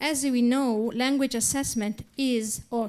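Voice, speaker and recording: A woman speaks with an Italian accent at a high pitch, with ordinary pitch variation and a very slow pace. The recording is very clean, with a silent background. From Italy. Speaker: academic lecturer. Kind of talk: reading aloud a paper. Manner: halting, many fillers.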